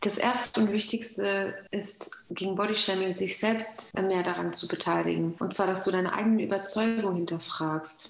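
Noticeable background noise and audible room echo surround a woman speaking at a fairly slow pace, with medium pitch and ordinary pitch variation. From Germany, Moroccan family. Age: 30s. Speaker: nutrition coach. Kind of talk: interview. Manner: hesitant with fillers.

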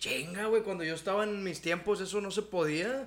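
The man's voice is pitched high. He gets through his words very fast. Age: 30s. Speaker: podcast co-host, comedian. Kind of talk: casual chat.

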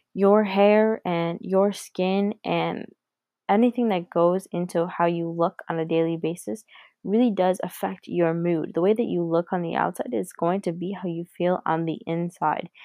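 A woman's unremarkable speaking voice, fairly low in pitch, with ordinary pitch variation. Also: moderate pace. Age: 20s. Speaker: beauty podcaster and cosmetologist. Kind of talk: casual monologue. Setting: at home, sitting in her brother's room.

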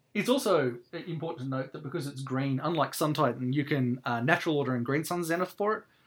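A man talks at a very fast pace with an Australian accent. His pitch is fairly high, with ordinary variation. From Canberra, Australia. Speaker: podcast host and committee member. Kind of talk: casual chat podcast discussion.

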